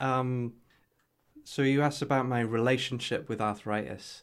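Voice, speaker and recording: Spoken in a Geordie accent at a moderate pace, the recording is very clean with a silent background. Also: man. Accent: Geordie, northeast English. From northeast England. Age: 30s. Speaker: health tech entrepreneur. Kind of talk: casual interview chat. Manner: halting, with many fillers.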